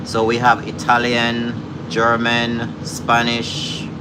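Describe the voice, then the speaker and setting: A man talks at a medium pitch. The room echoes audibly and background noise is noticeable. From Jamaica. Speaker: live-stream cooking host. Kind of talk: casual live-stream chat.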